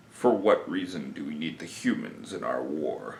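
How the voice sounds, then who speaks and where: A man performs a put-on character voice at a moderate pace. A slight echo hangs on the sound. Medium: solo performance. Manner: formal, dignified.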